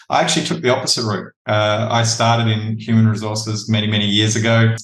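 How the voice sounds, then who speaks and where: With an Australian accent, a man talks at a fairly quick pace in a fairly low pitch. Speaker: talent acquisition leader. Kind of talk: podcast interview.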